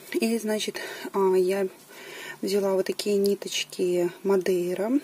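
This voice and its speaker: A woman's very slow speech with ordinary pitch variation over light background noise. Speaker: knitting vlogger. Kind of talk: casual vlog chat. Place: home room. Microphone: camera far.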